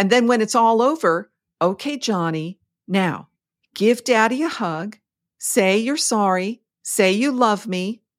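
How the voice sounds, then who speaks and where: The voice has lively intonation at a fairly slow pace, with long, frequent pauses. The recording is very clean, with a silent background. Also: woman, fairly high pitch for a woman. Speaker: podcast co-host. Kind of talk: casual conversational podcast chat. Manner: animated, swears.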